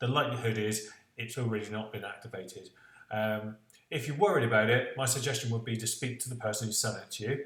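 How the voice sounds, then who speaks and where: A man speaks at a very fast pace with medium pitch and fairly even intonation. Audible room echo surrounds his voice. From West Country of England. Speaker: tech reviewer. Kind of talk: product review vlog. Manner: hesitant, many fillers.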